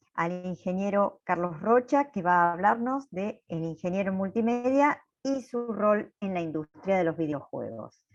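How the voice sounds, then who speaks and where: With lively intonation at a medium pitch, a woman speaks at a fairly slow pace. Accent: Argentine. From Argentina. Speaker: event moderator. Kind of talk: event moderation. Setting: video call.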